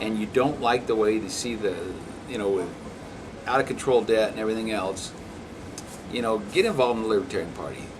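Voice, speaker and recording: A man at medium pitch with ordinary pitch variation, at a very fast pace broken by long, frequent pauses, in audible room echo and noticeable background noise. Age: 60s. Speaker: elected county official. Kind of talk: interview.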